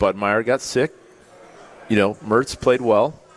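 A man does the talking. Background noise is noticeable throughout. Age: 40s. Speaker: former college football player, radio co-host. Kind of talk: live sports talk radio. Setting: live broadcast from a pub.

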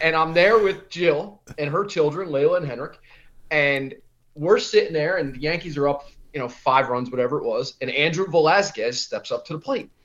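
A man with an American accent speaks in a plain, everyday voice, with a fairly high pitch, ordinary pitch variation and a moderate pace. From New Jersey Shore, Monmouth County. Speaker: military veteran and event organizer. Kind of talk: radio interview.

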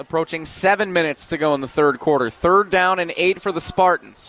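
With an American accent, a man talks at a very fast pace and high pitch, his intonation fairly even, over noticeable background noise. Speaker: high school football play-by-play announcer. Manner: conversational and explanatory between plays, setting up situations.

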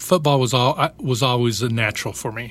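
A man speaks with an American accent in an ordinary speaking voice. His pitch is medium, his intonation fairly even, and his pace fairly slow. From Utah and Idaho, then El Paso. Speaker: former football player. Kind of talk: casual interview. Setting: studio.

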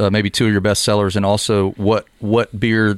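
A man talks with a fairly low pitch. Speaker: podcast host, realtor and musician. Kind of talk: casual chat. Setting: studio.

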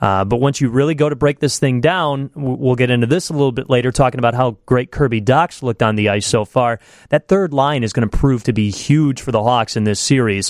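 A man's ordinary speaking voice at medium pitch, a fairly quick pace with hardly any pauses, ordinary pitch variation, and a dry, close sound with no echo. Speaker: radio reporter and co-host.

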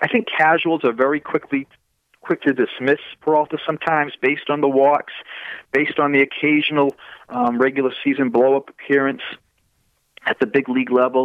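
A man with a Massachusetts accent talks at a fairly quick pace in a fairly high pitch, his intonation monotone and flat and his loudness very even, with long, frequent pauses. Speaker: baseball prospect analyst. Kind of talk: casual chat.

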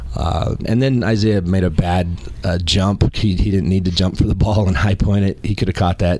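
A man with a very deep, low pitch talks fairly quickly with ordinary pitch variation. He hardly pauses, and there is noticeable background noise. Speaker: former college football player, analyst. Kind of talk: casual sports talk.

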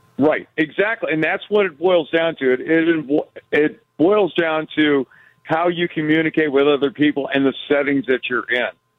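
With an unremarkable speaking voice, a man talks at a moderate pace and fairly high pitch, keeping very even loudness and ordinary pitch variation. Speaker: rideshare driver, radio caller. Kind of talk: call-in conversation. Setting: phone call.

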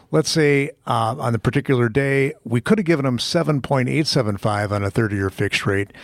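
Dry and close with no echo, a man speaks at a medium pitch with ordinary pitch variation, in an unremarkable speaking voice. He moves at a fairly quick pace with hardly any pauses. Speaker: radio host. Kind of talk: radio host patter. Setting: radio studio. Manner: chatty, lively, banter-heavy.

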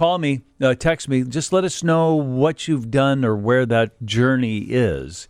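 On a very clean recording with a silent background, a man uses lively intonation at a medium pitch in an ordinary speaking voice. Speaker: radio host. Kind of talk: radio talk show. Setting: radio studio.

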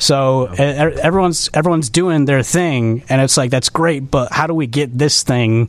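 Speaking at a moderate pace with hardly any pauses, a man with an American accent has a fairly high pitch, ordinary pitch variation, very even loudness, and an ordinary speaking voice. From Chicago southwest suburbs. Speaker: independent filmmaker. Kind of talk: casual interview.

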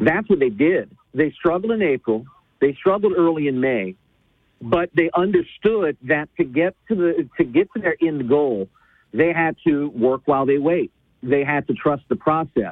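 Lively in intonation and very even in loudness, a man with an unremarkable speaking voice talks at a fairly high pitch and moderate pace. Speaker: traffic reporter and sports commentator. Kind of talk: casual sports talk.

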